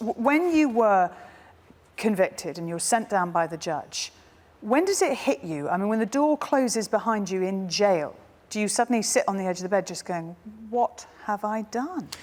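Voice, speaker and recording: This woman's pitch swings very widely. She keeps to a moderate pace. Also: fairly high pitch for a woman. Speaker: TV presenter. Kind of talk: TV chat show host.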